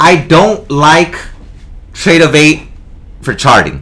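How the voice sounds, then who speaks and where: The man's tone comes across bright and sharp. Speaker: trading instructor. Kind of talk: tutorial. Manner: fast.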